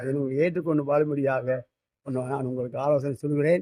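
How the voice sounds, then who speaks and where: This male voice has a dark, mellow tone. The intonation stays fairly even. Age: 80s+. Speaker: retired headmaster and church elder. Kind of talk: sermon.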